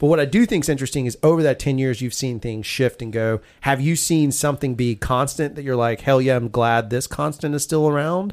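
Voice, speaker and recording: A man with an Alabama accent speaks at a medium pitch with ordinary pitch variation, at a fairly quick pace with hardly any pauses. The recording is very clean, with a silent background. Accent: Southern US (Alabama). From US South. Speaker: podcast host. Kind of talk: casual chat; sponsor read.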